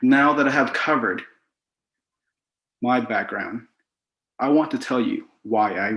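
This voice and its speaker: A man speaks at a moderate pace. His speech has long, frequent pauses. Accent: Cambodian. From Cambodia. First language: Khmer. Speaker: author. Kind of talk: prepared talk.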